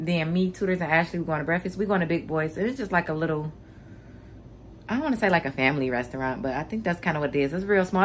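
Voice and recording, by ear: A woman's fairly low, fairly bright voice at a fast pace, with ordinary pitch variation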